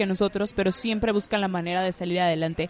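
This woman talks with a northern Mexican accent and fairly even intonation. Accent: northern Mexican Spanish (Monterrey). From Monterrey, northern Mexico. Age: 20s. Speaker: communications graduate and podcaster. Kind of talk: casual chat.

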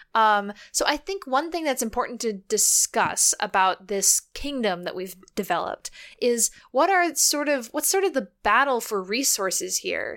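A woman's high voice at a moderate pace, with very wide pitch swings. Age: 20s. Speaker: podcast co-host. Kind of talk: casual chat. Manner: animated.

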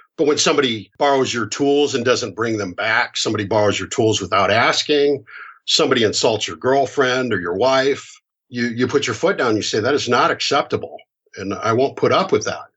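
With an American accent, a man speaks in an unremarkable speaking voice at a medium pitch. His pace is fairly quick and his pitch variation is ordinary. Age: 50s. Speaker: hypnotherapist. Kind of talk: podcast interview.

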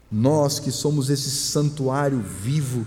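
The speech comes at a very slow pace amid noticeable background noise and audible room echo. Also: man. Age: 50s. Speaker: pastor. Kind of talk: sermon. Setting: church.

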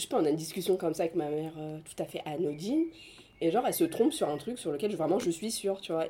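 A woman speaks at a very fast pace with lively intonation. Her voice has a dark, mellow tone and a fairly low pitch. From France, Senegalese family. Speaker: afrofeminist activist. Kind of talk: casual chat.

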